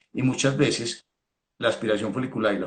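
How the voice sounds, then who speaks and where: Vocal fry marks a man's medium-pitched voice. He speaks at a moderate pace. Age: 60s. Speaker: veterinarian. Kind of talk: technical talk. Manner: halting, repeats words.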